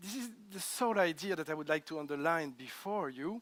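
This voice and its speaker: Lively intonation and a fairly quick pace mark this man with a French accent and fairly high pitch, on a very clean recording with a silent background. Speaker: lawyer. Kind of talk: panel talk. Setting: hotel event with audience.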